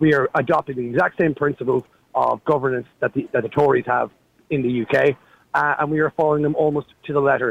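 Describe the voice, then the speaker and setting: A man with an Irish accent, fairly high in pitch, at a fairly quick pace with fairly even intonation, in a dry, close sound with no echo. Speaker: caller. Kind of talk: talk radio phone-in. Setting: phone call. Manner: halting.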